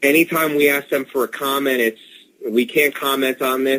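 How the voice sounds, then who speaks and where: This man has an unremarkable speaking voice, a medium pitch and a moderate pace. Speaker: author. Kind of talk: radio interview answer.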